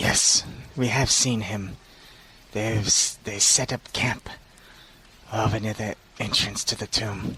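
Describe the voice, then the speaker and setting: Putting on a character voice, a man speaks fairly low and fairly slowly, with long, frequent pauses. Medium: actual play. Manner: blunt, flat, literal.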